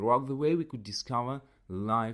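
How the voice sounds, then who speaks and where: A man with a non-native accent talks at a moderate pace. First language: not English. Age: 30s. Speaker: podcast host and English teacher. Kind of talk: casual solo podcast talk. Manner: halting, with many repetitions.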